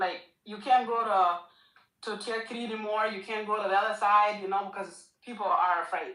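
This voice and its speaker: In a room with audible echo, a woman of fairly high pitch speaks at a moderate pace with fairly even intonation. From Ethiopia, Gambella region (Itang). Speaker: caller. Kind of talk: call-in discussion. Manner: halting.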